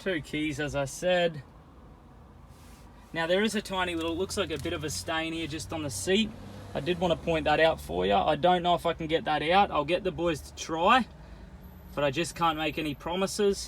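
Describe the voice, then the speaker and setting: Pausing long and often, a man with an Australian accent speaks at a moderate pace and a fairly high pitch, with ordinary pitch variation. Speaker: car salesman. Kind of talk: personalized sales video walkthrough. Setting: in and around a car at a dealership. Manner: casual, chatty.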